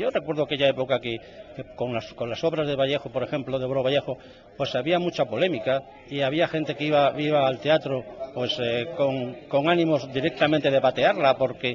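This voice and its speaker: Noticeable background noise sits behind a man with a fairly high pitch. He talks at a fairly quick pace with fairly even intonation. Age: 60s. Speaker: novelist. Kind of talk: radio interview. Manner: halting, many fillers.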